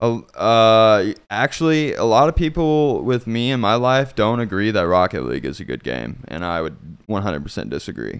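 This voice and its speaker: With hardly any pauses, a man with an American accent speaks in very wide pitch swings on a very clean recording with a silent background. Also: medium pitch for a man, moderate pace. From southeast Kansas, US. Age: 20s. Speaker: electronic music producer and DJ. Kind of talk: casual interview chat. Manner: hesitant, many fillers.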